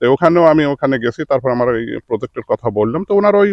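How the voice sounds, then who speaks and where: A man with an ordinary speaking voice, fairly high in pitch, with lively intonation. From Bangladesh, Pabna district. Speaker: onion seed farmer and seller. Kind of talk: field interview.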